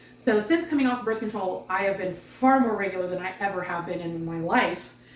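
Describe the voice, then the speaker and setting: Against noticeable background noise, a woman speaks at a fairly quick pace with a medium pitch and ordinary pitch variation. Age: 40s. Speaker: weight loss vlogger. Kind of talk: casual vlog update. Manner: casual with many fillers.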